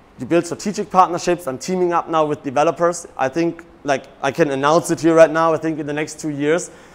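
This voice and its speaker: Speaking fairly quickly with hardly any pauses, a man has a fairly high pitch and a German accent. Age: 30s. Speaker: real estate broker and coach. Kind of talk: seminar talk. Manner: animated.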